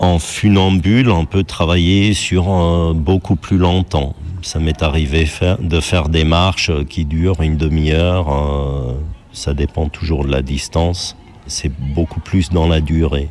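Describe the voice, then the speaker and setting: A man speaks at a very slow pace in a very deep, low pitch, with fairly even intonation and very even loudness over noticeable background noise. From Germany. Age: 40s. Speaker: tightrope walker. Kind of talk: interview testimony. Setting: outdoors.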